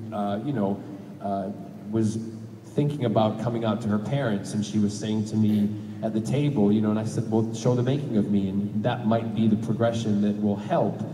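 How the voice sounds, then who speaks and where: Noticeable background noise sits under a voice with an American accent, moderate in pace and fairly even in intonation. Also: man, fairly low pitch for a man. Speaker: actor. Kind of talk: interview answer.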